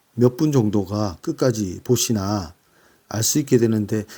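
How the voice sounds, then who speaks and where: Heard in a very clean recording with a silent background, a man with a dark, mellow tone speaks at a very slow pace and with ordinary pitch variation. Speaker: book reviewer. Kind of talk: casual talk. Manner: halting with fillers.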